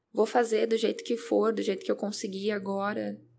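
Monotone, flat intonation marks this woman's medium-pitched speech. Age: 20s. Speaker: self-development podcaster. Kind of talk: personal monologue. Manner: hesitant, repeats words.

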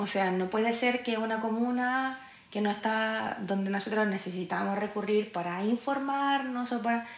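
A woman with a Chilean accent and a fairly high pitch, at a moderate pace with fairly even intonation, amid noticeable background noise and audible room echo. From Chile, Santiago (Quinta Normal). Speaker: podcast host. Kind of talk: solo podcast monologue. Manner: casual, frequent fillers.

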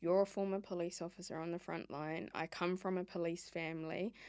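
With a New Zealand accent, a woman speaks fairly quickly in a fairly low voice with ordinary pitch variation, recorded very cleanly against a silent background. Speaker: podcast host, former lobbyist. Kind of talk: podcast interview. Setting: podcast studio.

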